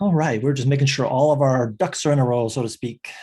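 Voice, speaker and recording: This man talks at a very fast pace, soft-spoken and somewhat breathy, with a dark, mellow tone. His pitch is medium with ordinary pitch variation. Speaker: online course instructor. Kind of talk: tutorial. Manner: casual.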